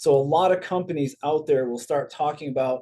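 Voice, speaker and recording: A man's fairly high, unremarkable speaking voice at a fairly quick pace with fairly even intonation. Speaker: network marketing presenter. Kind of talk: recorded compensation plan presentation.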